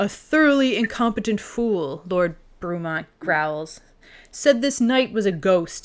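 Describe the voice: Lively intonation across plain reading aloud.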